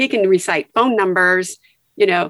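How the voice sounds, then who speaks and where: Here a woman talks in an ordinary speaking voice at a moderate pace. Her pitch variation is ordinary, and the sound is dry and close with no echo. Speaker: retired nurse. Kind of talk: casual chat.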